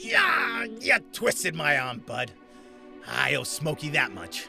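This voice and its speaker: Over clear background music, a man does a put-on character voice at a fairly slow pace. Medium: audio drama. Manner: brash, insulting.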